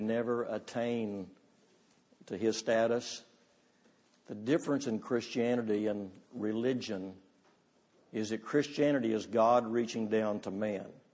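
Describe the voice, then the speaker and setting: A man's dark, mellow voice, fairly slow and fairly even in intonation, broken by long, frequent pauses. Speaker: guest preacher. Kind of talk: sermon.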